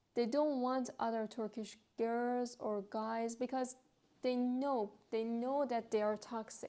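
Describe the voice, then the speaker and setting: A woman with a Persian accent speaks at a very slow pace, her pitch fairly high and her tone dark and mellow. Her intonation stays monotone and flat. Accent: Persian (Iranian) accented English. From Iran. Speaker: vlogger. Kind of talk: casual vlog monologue. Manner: hesitant, frequent fillers.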